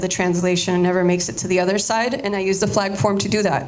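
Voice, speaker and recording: A woman with a Spanish accent speaks very fast at a medium pitch in a monotone, flat intonation over noticeable background noise. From Miami, Florida (Cuban exile community). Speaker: artist. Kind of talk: artist talk. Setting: audience.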